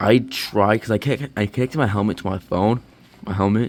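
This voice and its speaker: A man with a fairly low voice talks rather slowly, keeping his intonation fairly level. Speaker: motorcycle vlogger. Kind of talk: product review. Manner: halting; casual.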